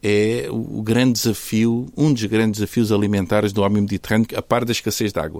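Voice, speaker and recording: A plain, everyday voice from a man, fairly low in pitch, at a fairly quick pace with fairly even intonation, on a very clean recording with a silent background. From Portugal, Algarve (Faro). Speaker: podcast host, nutrition school academic. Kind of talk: conversational interview.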